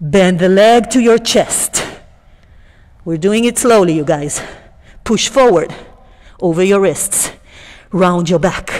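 A woman at a medium pitch with ordinary variation, very slow pace, long, frequent pauses and a quiet background. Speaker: yoga teacher. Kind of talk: yoga class instruction. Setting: studio. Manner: calm, soothing; warm, lightly humorous. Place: gym.

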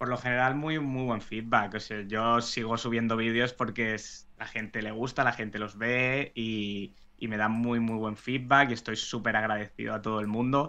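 Over a quiet background, a man speaks at a moderate pace with a bright, sharp tone and monotone, flat intonation. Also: medium pitch for a man. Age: 20s. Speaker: economics teacher and investment educator. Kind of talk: interview.

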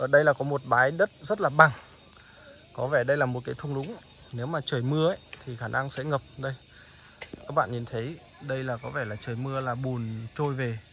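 Light background noise sits behind a man talking at a moderate pace with ordinary pitch variation and long, frequent pauses. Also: dry sound with no echo. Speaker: village life vlogger. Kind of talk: casual vlog chat. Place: open country. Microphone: phone near.

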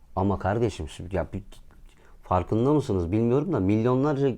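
Against a quiet background, a dark, mellow voice moves at a moderate pace with lively intonation. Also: man. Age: 20s. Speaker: YouTuber. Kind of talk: vlog monologue. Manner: animated.

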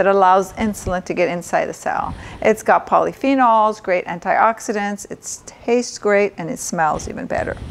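Lively intonation and big swings in loudness mark this woman's speech. Her pace is moderate. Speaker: doctor cooking show host. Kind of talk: tutorial. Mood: warm, informative. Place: kitchen.

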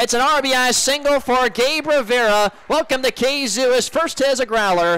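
A man's extremely high voice with ordinary pitch variation, in dry sound with no echo. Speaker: baseball radio play-by-play announcer. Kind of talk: radio sports play-by-play. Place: booth.

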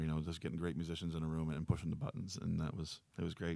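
A man speaks very fast in a very deep, low voice with fairly even intonation. The sound is dry, with no echo. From Canada, New Brunswick. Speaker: blues and folk singer-songwriter; guest. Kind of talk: casual interview. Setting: radio studio. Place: studio. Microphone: studio mic.

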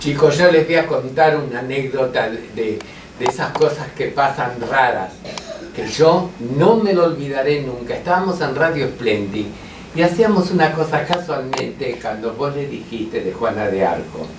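Noticeable background noise around a man's fairly slow speech. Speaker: radio guest. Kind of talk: anecdote at a panel talk. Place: meeting room.

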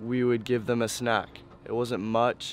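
A man talks at a fairly slow pace. The sound is dry with no echo, over light background noise. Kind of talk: interview answer. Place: waterside.

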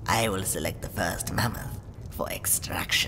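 Over loud background noise, a put-on character voice is heard. The pace is moderate. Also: man, very deep, low pitch for a man. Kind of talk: roleplay story dialogue.

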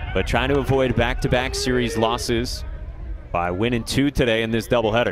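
The speaker moves at a fairly quick pace with very even loudness and fairly even intonation, against noticeable background noise. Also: man, medium pitch for a man. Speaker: play-by-play announcer. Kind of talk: live sports commentary. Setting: broadcast booth at ballpark.

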